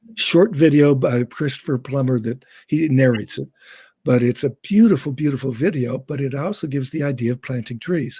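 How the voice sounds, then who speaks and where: The voice has a dark, mellow tone and sounds somewhat breathy. It moves at a moderate pace with ordinary pitch variation. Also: man. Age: 70s. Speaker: educator. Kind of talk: casual chat.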